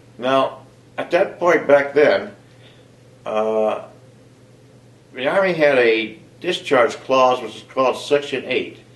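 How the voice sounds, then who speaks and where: A man with an American accent speaks at a very slow pace, with long, frequent pauses. His loudness swings widely, and audible room echo surrounds him. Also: fairly high pitch for a man, ordinary pitch variation. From southeastern Ohio, US. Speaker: army veteran and retiree. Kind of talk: personal interview, self-profile. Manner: jovial, hesitant with filler words. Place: home room.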